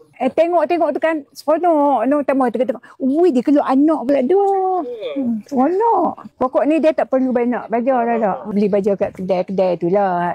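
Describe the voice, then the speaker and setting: Over noticeable background noise, a woman speaks at a moderate pace in a high pitch, her loudness very even but her pitch swinging very widely. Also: dry, close sound with no echo. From Malaysia, Kedah. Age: 80s+. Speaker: retired gardener, customer. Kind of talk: casual chat. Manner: animated.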